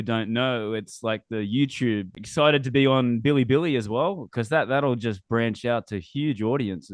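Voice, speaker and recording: A man with a strong Australian accent and ordinary pitch variation. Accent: Australian, still strong. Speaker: podcast host. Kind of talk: casual interview chat.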